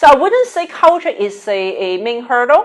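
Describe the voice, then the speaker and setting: A woman with a Cantonese accent speaks at a moderate pace in a high voice, her pitch swinging very widely. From Hong Kong. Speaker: business executive. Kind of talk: interview dialogue.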